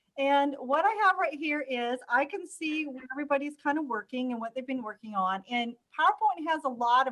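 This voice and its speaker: A woman talks at a fairly quick pace in a high voice. Her intonation is lively. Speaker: instructional technology trainer. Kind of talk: live webinar tutorial. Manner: fast.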